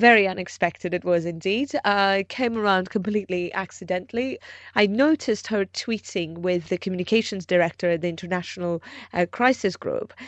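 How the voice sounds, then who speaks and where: A woman with a normal speaking voice talks fairly quickly at a medium pitch with ordinary pitch variation. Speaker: journalist. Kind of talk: interview.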